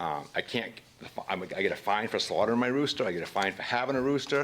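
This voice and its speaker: Speaking at a very fast pace with a strong Maine accent, a man of medium pitch uses lively intonation over noticeable background noise. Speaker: citizen speaking at public comment. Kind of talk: public comment at council meeting. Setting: city council meeting. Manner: halting, with repetitions.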